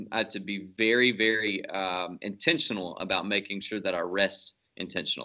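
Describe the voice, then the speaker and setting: A man speaks at a fairly quick pace, his fairly low pitch held in fairly even intonation. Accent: Southern US. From North Louisiana (Shreveport). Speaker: pastor. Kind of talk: interview conversation.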